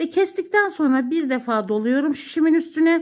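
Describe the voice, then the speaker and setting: In a very clean recording with a silent background, a woman's voice moves through very wide pitch swings. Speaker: knitting channel host. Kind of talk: tutorial.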